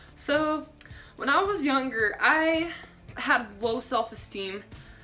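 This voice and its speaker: Music plays faintly behind the voice. The speaker is a woman. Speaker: vlogger. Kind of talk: casual vlog chat. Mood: reflective, self-amused. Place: bathroom. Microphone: phone near.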